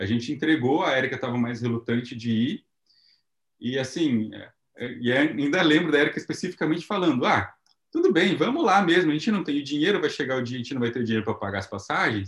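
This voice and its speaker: Speaking very fast, a man with a fairly high voice uses lively intonation. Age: 30s. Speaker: missionary and entrepreneur. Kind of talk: testimony.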